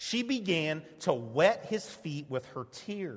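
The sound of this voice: The clip carries an unforced reading voice. That voice does all of the speaking.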